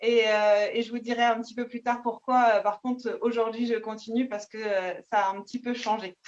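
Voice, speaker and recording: A woman's high voice proceeds at a fairly slow pace. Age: 30s. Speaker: nurse and network marketing seller. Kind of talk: self-introduction on video call. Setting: video call.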